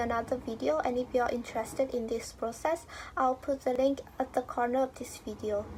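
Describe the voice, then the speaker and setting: Her voice is high-pitched, with ordinary pitch variation, and the woman keeps a moderate pace. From Vietnam. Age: 20s. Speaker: YouTuber. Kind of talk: personal vlog monologue.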